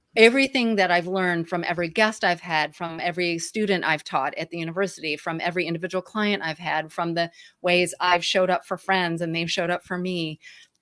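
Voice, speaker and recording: A woman speaks very fast with hardly any pauses, her pitch fairly low and her intonation fairly even. The recording is very clean, with a silent background. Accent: Midwestern. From Michigan, US Midwest. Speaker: grief activist and podcast host, guest. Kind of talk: interview conversation.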